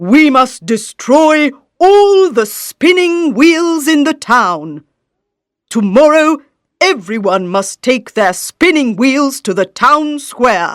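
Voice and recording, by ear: A woman speaks slowly in a put-on character voice, high-pitched with big swings in pitch, on a very clean recording with a silent background.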